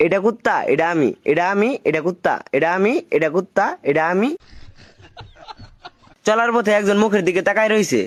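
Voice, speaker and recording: Speaking at a high pitch, a man keeps his loudness very even while his pitch varies in an ordinary way. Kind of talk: comedic voiceover narration. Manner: casual, humorous.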